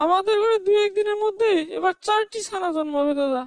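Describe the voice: This is a cartoonish character voice pitched extremely high. It moves at a moderate pace.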